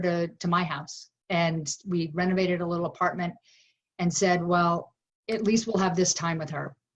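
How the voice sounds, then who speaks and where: A woman with a somewhat breathy, fairly low voice speaks at a moderate pace. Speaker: plant-based food company founder. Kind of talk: interview answer.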